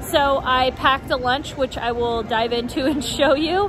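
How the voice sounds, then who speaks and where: Clear music plays in the background. The voice itself sounds dry, with no echo. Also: woman. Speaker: theme park vlogger. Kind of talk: casual vlog chat. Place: street. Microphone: phone near.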